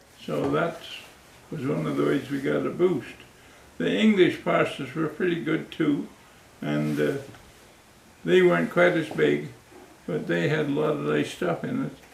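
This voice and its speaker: With audible room echo, a man speaks at a moderate pace, leaving long, frequent pauses. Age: 80s+. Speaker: war veteran. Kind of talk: casual chat. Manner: halting.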